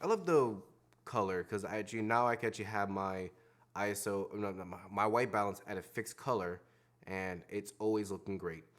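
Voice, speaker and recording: A quiet man's voice, fairly low in pitch, with ordinary pitch variation. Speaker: video creator reviewing gear. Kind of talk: casual gear talk to camera. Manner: halting, many fillers; trying to speak quietly. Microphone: external recorder with Audio-Technica mics; possible echo.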